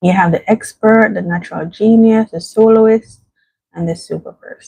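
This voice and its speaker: Soft-spoken and somewhat breathy, a woman talks at a moderate pace with a fairly high pitch, fairly even intonation and big swings in loudness, in a dry, close sound with no echo. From Jamaica. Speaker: vlogger. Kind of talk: casual livestream chat. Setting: at home.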